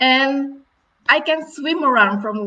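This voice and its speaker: A woman speaks with an Indonesian accent. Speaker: marine conservation director. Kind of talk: storytelling talk. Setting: live virtual event. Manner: halting, with fillers.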